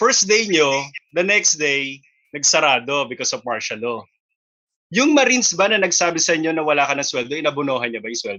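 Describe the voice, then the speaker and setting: This man's voice sits fairly high. It swings across a very wide pitch range. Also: fairly quick pace. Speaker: radio host. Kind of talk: interviewer questions.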